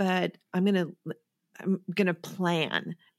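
Speaking slowly, a woman with an American accent uses a medium-pitched voice. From US Midwest. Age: 50s. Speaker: therapist and podcast host. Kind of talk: interview sharing a personal recovery story. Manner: calm, soothing delivery.

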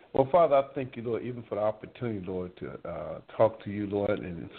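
Speaking at a fairly quick pace, a man uses a plain, everyday voice at a medium pitch with ordinary pitch variation. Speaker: husband of the host. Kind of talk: prayer.

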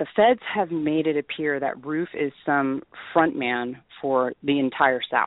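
A woman speaks with a very deep, low pitch and a passionate tone. Her pace is fairly slow, and her pitch varies in an ordinary way. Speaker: radio host. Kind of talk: radio talk show monologue. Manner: opinionated, passionate.

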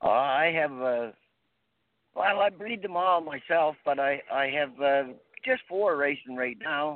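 At a fairly slow pace, a man with a Maritime Canadian accent talks in a fairly high pitch with lively intonation. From Prince Edward Island, Canada. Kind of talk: casual interview. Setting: phone call.

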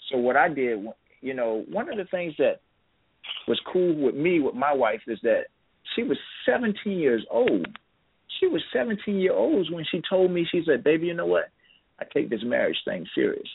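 A man takes long pauses, and he takes them often. His speaking pace is moderate. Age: 50s. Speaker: novelist. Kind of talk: casual interview chat.

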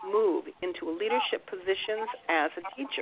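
With lively intonation, a woman with an ordinary speaking voice talks at a moderate pace at a medium pitch. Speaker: radio host. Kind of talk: radio interview. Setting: internet radio show.

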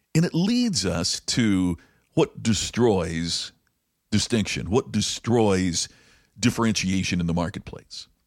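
A man with an American accent speaks at a very slow pace. The recording is very clean with a silent background and a dry, close sound with no echo. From US Midwest, rural Indiana. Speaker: podcast host, business speaker. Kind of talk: storytelling monologue; business talk.

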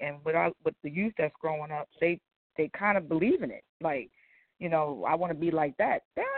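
With an American accent, a woman talks at a fairly quick pace in an unremarkable speaking voice, with ordinary pitch variation. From New Jersey. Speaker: singer. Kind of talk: casual interview. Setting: phone call.

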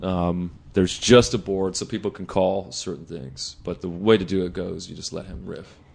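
A man with an American accent, very deep, low pitch, vocal fry and ordinary pitch variation, at a moderate pace with hardly any pauses and big swings in loudness. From Los Angeles South Bay, California. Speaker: music producer and mastering engineer. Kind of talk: casual chat.

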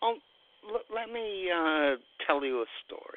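A man speaks with a British accent. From Great Britain. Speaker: radio host. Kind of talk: casual chat.

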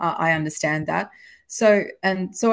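Against a quiet background, a woman with an Australian accent talks at a fairly slow pace. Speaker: historical novelist. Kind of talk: casual interview.

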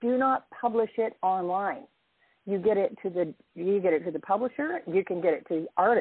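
A normal speaking voice from a woman at medium pitch and moderate pace. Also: lively intonation. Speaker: caller. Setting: phone call.

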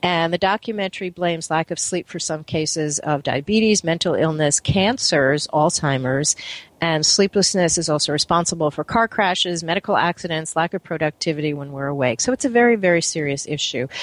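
A woman talks at a fairly quick pace in a fairly low pitch, with ordinary pitch variation. She has an unremarkable speaking voice. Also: hardly any pauses. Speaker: radio host. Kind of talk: live radio talk show interview. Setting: studio.

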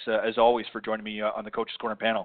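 A man's voice at medium pitch. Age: 50s. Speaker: golf radio show host. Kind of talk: live talk radio show. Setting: live internet radio broadcast.

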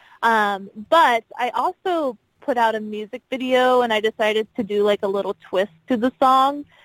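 Speaking at a moderate pace with an American accent, a woman has a normal speaking voice, a fairly high pitch and ordinary pitch variation. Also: dry, close sound with no echo. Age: 20s. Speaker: singer. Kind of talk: radio interview.

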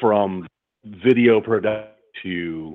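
A man with a General American accent speaks at a fairly low pitch with ordinary pitch variation. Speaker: audiobook narrator and voice-over artist. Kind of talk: interview. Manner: halting.

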